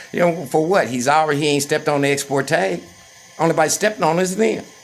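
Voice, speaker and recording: A man talks at a very fast pace with music in the background. His pitch is fairly high with ordinary variation, and his loudness stays very even. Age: 60s. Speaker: vlogger. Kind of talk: personal rant. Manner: agitated.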